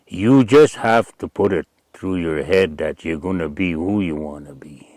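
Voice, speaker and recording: A man with a very deep, low pitch talks at a moderate pace with lively intonation and big swings in loudness, in a dry, close sound with no echo. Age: 70s. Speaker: community elder. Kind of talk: interview. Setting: at his home trapline.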